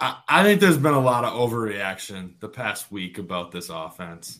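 A man is speaking. His pitch swings very widely. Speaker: caller. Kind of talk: casual sports chat.

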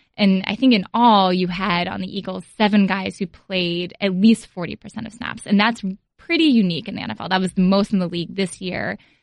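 A woman with an American accent talks at a fairly quick pace in a normal speaking voice of medium pitch, her intonation fairly even. Her loudness swings widely, and the sound is dry and close with no echo. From Philadelphia. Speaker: sports journalist. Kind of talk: reading aloud.

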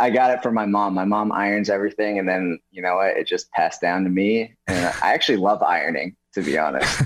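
With an American accent, a man speaks at a fairly quick pace with hardly any pauses, fairly low pitch, and ordinary pitch variation. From New York City. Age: 20s. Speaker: actor. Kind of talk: interview. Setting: video call.

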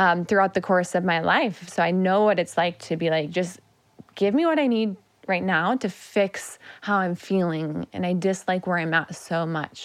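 A plain, everyday voice speaks at a moderate pace with fairly even intonation. The background is quiet. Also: woman, medium pitch for a woman. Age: 30s. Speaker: functional medicine nutritionist. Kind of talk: interview conversation.

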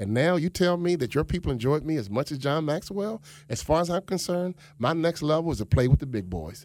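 A man with a normal speaking voice and a fairly high pitch, on a very clean recording with a silent background. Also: lively intonation, fairly quick pace. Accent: American. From Chicago South Side. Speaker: motivational speaker and former pro basketball player. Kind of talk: radio interview. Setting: studio.

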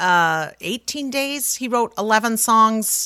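With an American accent, a woman speaks slowly-ish in a fairly high, bright, sharp voice with lively intonation, the sound dry and close with no echo on a very clean recording with a silent background. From Utah, Salt Lake City. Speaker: musical theatre singer and actress. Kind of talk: casual interview.

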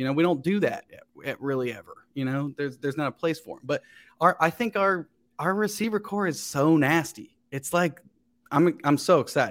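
Speaking with an American accent, a man uses a high pitch and lively intonation. His pace is moderate. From Ohio, Cincinnati area. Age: 30s. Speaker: actor and comedian. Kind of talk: casual chat.

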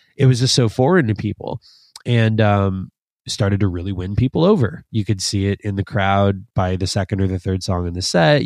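Fairly low in pitch with ordinary variation, a man talks at a fairly quick pace in an unremarkable speaking voice, the sound dry and close with no echo against a quiet background. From Canada, Toronto (Scarborough). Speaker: instrumental metal guitarist. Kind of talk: podcast interview.

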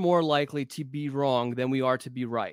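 Moderate pace and ordinary pitch variation from a man, in a dry, close sound with no echo. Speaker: football recruiting analyst. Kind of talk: casual chat.

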